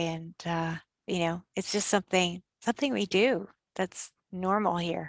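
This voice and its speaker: With a Canadian accent, this woman has an unremarkable speaking voice, fairly low in pitch, moving at a moderate pace in a dry, close sound with no echo. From Canada. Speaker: tour operator. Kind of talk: interview answer.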